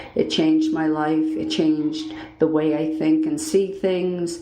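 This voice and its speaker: Background music plays as a woman speaks at a fairly slow pace, with audible room echo. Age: 60s. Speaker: podcast listener submitting a story. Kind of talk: personal story monologue. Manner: hesitant, many fillers.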